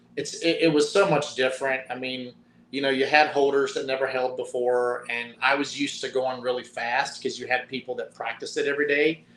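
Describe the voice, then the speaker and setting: In a strong Southern Appalachian accent, a man talks with fairly even intonation at a fairly high pitch. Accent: Southern Appalachian drawl, strong. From US South, mountains of Virginia. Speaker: retired football player. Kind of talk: interview.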